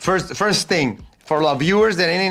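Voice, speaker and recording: Music sits in the background while a man speaks at a high pitch with ordinary pitch variation. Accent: Spanish. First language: Spanish. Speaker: motorsport show host. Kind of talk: interview. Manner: halting.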